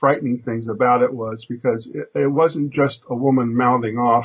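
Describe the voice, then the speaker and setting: This man talks at a moderate pace with an American accent. His voice is somewhat breathy. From United States. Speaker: businessman and physicist. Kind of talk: radio interview. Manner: halting.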